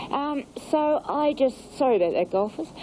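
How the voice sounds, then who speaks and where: A woman with an Australian accent, high-pitched and lively in intonation, over noticeable background noise. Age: 60s. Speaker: aerobics instructor. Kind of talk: interview.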